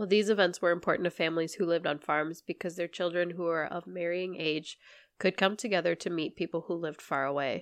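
A woman speaks very fast with a General American accent, her fairly low pitch held in fairly even intonation. The sound is dry and close with no echo, against a quiet background. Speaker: podcast co-host. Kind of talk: casual chat.

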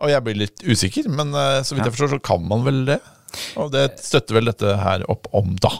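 A man with a normal speaking voice talks at a fairly quick pace and medium pitch, with ordinary pitch variation, in a dry, close sound with no echo. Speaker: tech podcast host. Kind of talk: casual chat.

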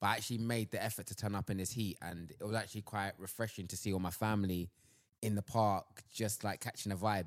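Very fast and flat in a monotone, a man talks at a fairly low pitch. The recording is very clean with a silent background. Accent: London. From Southeast London. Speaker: sports agency worker. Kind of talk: casual chat.

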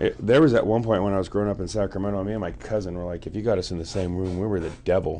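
With an American accent, a man talks at a very fast pace in a very deep, low pitch with fairly even intonation. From US West Coast. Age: 40s. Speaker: guest telling life stories. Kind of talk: casual storytelling.

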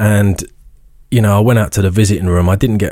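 A man talks with an English accent and fairly even intonation. The recording is very clean, with a silent background. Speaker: author and motivational speaker. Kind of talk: casual interview, personal storytelling.

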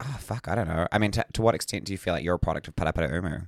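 Recorded very cleanly against a silent background with a dry, close sound and no echo, a man talks in a very deep, low pitch with ordinary pitch variation. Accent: New Zealand. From Whangarei, New Zealand. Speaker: podcast co-host.

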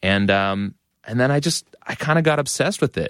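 An American-accented man at a moderate pace with ordinary pitch variation, dry and close with no echo, in a very clean recording over a silent background. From Massachusetts, Methuen north of Boston. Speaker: rock musician. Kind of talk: interview.

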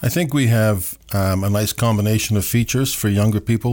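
Fairly quick speech with fairly even intonation in a Canadian Maritime accent comes through on a very clean recording with a silent background. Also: man. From Nova Scotia, Canada (Dartmouth). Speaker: city mayor. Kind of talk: interview.

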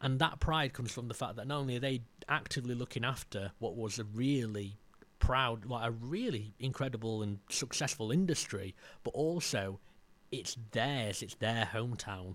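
With a South Yorkshire accent, a man talks at a moderate pace and medium pitch with ordinary pitch variation on a very clean recording with a silent background. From South Yorkshire, Maltby. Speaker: heritage filmmaker and local historian. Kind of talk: casual interview chat. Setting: studio room with fans running.

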